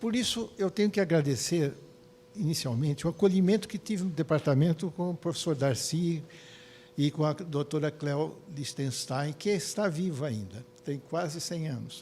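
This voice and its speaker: At a moderate pace, a man talks in a fairly high pitch with a dark, mellow tone and ordinary pitch variation. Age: 80s+. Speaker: psychiatrist. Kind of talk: lecture. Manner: halting.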